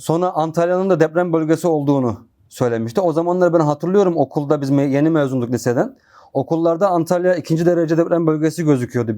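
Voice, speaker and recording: A man talks very fast in a fairly high voice with a dark, mellow tone. His loudness stays very even, his pitch varies in an ordinary way, and the background is quiet. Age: 30s. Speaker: former religious student. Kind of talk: testimony.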